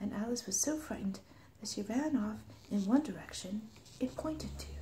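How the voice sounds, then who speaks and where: Quiet and soothing, the voice moves at a fairly quick pace over noticeable background noise. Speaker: ASMR storyteller. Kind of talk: bedtime story reading. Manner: quiet, soothing.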